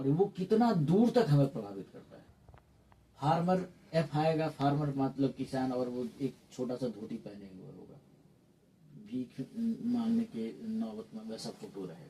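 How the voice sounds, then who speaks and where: A man's fairly high voice with a dark, mellow tone, very wide pitch swings and big swings in loudness. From Mithila region, Bihar, India. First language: Maithili (speaking Hindi). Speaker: theatre academic. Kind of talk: interview. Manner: some hesitations, fillers.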